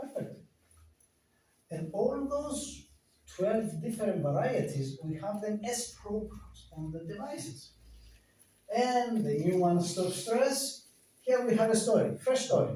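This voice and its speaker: A man's high voice with a non-native accent, very wide pitch swings, a fairly slow pace, long, frequent pauses and audible room echo. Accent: foreign. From Greece. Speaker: company director presenting health devices. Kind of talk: product presentation. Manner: halting, with hesitations.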